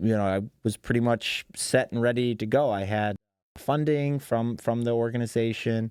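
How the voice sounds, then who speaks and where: A man's dark, mellow voice with a slight Western New York accent, moderate pace and ordinary pitch variation, dry and close with no echo on a very clean recording with a silent background. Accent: slight Western New York twang. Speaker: shark researcher and marine science teacher. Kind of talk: podcast interview. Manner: casual, with many fillers.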